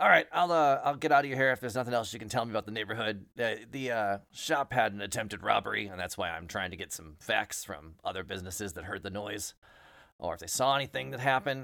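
Very fast and raspy, a man puts on a character voice at a medium pitch, with lively intonation and big swings in loudness. The recording is very clean, with a silent background. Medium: actual play. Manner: polite, apologetic, methodical.

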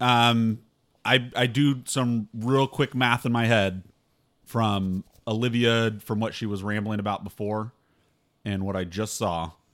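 In an ordinary speaking voice, a man talks fairly slowly at a medium pitch with fairly even intonation. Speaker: tabletop game player. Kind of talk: casual banter.

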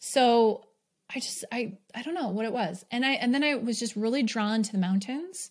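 A woman with an American accent speaks in an ordinary speaking voice, fairly high in pitch with ordinary pitch variation, at a moderate pace on a very clean recording with a silent background. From New York. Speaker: podcast host and business coach. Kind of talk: solo podcast monologue. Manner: casual, filler-heavy with frequent laughs.

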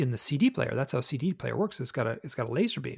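A man talks at a very fast pace with vocal fry, in a dry, close sound with no echo. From US Midwest, Michigan. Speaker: author and researcher of UFO experiences. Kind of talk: casual interview chat.

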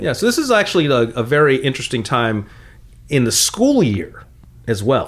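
This man has an animated tone and a medium pitch, in a Californian accent. His loudness stays very even throughout. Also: moderate pace. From US West Coast, San Fernando Valley. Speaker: comedian, co-host. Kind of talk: casual chat.

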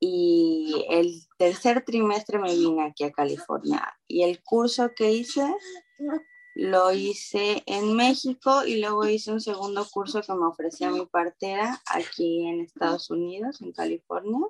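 Speaking at a fairly slow pace, a woman uses a normal speaking voice of medium pitch and lively intonation. The sound is dry and close, with no echo. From Mexico, Veracruz. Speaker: new mother sharing birth story. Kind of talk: interview testimony.

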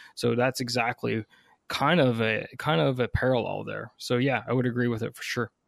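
In a Newfoundland accent, a man talks at a moderate pace and a medium pitch with ordinary pitch variation. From Newfoundland, Canada. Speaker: army officer and leadership coach. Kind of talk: interview.

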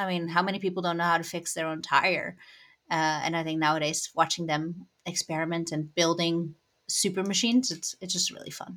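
Talking at a fairly quick pace with a Dutch accent, a woman keeps a fairly low pitch and fairly even intonation on a very clean recording with a silent background. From Netherlands. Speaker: cycling journalist. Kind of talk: casual interview. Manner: uses many fillers.

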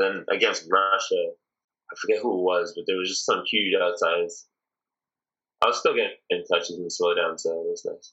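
With a Toronto accent, a man speaks at a moderate pace. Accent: Canadian (Toronto). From Canada, Toronto (Scarborough). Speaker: volleyball player and musician. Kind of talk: interview.

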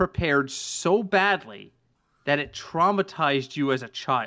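A man's very slow speech with very wide pitch swings and a bright, sharp tone, on a very clean recording against a silent background. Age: 40s. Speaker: sports podcast co-host. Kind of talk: casual chat.

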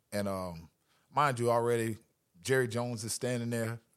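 In a very clean recording with a silent background, a man with an American accent uses a normal speaking voice at a medium pitch and a moderate pace. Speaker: football coach, former pro player. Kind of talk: casual interview. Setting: coaching clinic.

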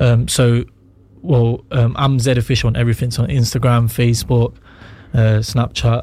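A man speaks in a dark, mellow tone at medium pitch and a moderate pace, somewhat breathy. His intonation is monotone and flat. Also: very even loudness. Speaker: rapper. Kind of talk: casual chat. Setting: studio.

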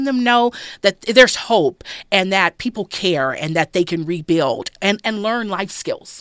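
Speaking at a moderate pace in an American accent, a woman has an ordinary speaking voice at medium pitch with lively intonation. The sound is dry and close, with no echo. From Los Angeles, South Central. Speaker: lawyer and judicial candidate. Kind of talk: interview. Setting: studio.

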